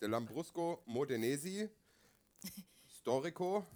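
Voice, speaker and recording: A man is speaking. His pitch swings very widely. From Asia, German family. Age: 40s. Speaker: podcast co-host and theatre director. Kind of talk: casual chat. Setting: stage with audience.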